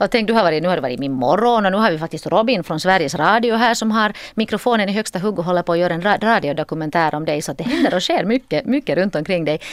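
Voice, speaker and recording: Very fast speech from a woman at a medium pitch, with lively intonation and hardly any pauses. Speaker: radio host. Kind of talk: radio interview. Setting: radio studio.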